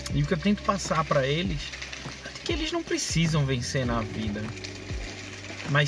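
Audible room echo and noticeable background noise around a man at a medium speed. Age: 30s. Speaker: comedian. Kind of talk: casual monologue. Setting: in a car. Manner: casual slangy. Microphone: poor audio.

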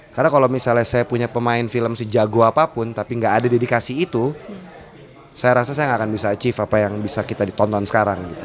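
With music in the background, a man talks at a very fast pace, his pitch medium and ordinary in variation. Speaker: film director. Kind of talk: interview.

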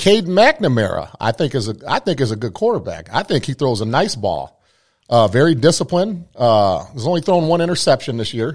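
An animated man speaks fairly quickly with very wide pitch swings and vocal fry. The recording is very clean, with a silent background. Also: fairly high pitch for a man. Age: 40s. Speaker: sports podcast host. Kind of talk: casual chat.

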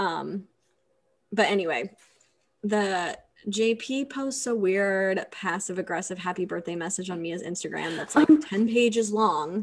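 An ordinary speaking voice moves at a fairly slow pace with lively intonation and big swings in loudness. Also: woman, medium pitch for a woman. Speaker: podcast co-host. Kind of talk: casual chat.

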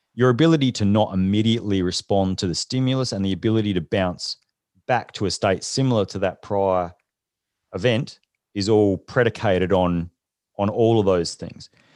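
A man with an Australian accent speaks at a fairly low pitch and a moderate pace. The sound is dry and close with no echo, over a quiet background. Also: ordinary pitch variation. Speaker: leadership consultant and former special forces soldier. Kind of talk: interview.

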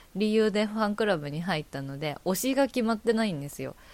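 Lively intonation at a fairly quick pace. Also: woman, very clean recording, silent background. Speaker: podcast host. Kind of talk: casual solo chat. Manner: fast.

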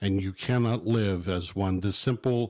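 The speaker holds a fairly even intonation at a fairly slow pace. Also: man. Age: 60s. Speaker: pastor. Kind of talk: sermon-like teaching discussion. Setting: studio. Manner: halting, filler-heavy.

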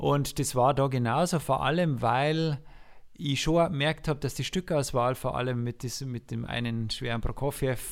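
Here a man has an unremarkable speaking voice, medium in pitch with fairly even intonation. He goes at a fairly slow pace on a very clean recording with a silent background. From Lower Bavaria, Passau district. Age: 40s. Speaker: music teacher and conductor. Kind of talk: casual interview.

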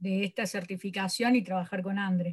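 This woman talks at a moderate pace. There's a somewhat breathy quality to her voice. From Córdoba, Argentina. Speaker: sports coach. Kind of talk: interview.

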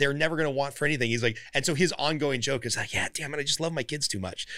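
Very fast speech comes from a man with a Californian accent and a fairly high, bright, sharp voice. The recording is very clean, with a silent background. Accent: Californian American. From Southern California (Glendale). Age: 40s. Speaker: podcast host and business coach. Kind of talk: podcast interview. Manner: casual.

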